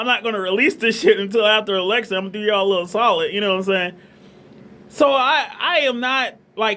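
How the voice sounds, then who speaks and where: A man's raised, projected voice, high-pitched for a man, with a Southern US accent over noticeable background noise. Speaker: vlogger. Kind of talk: casual monologue. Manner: animated; halting.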